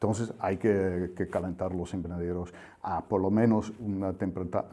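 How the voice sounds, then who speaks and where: A man talks at a fairly low pitch. The tone of his voice is dark and mellow. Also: quiet background. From Netherlands. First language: Dutch (speaking Spanish). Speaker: agricultural technical expert. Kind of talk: interview. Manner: halting with fillers.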